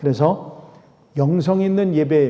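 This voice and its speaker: Speaking at a very slow pace, a man with a fairly high pitch is heard with audible room echo. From South Korea. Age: 60s. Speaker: pastor and lecturer. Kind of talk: lecture. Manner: halting, with many fillers.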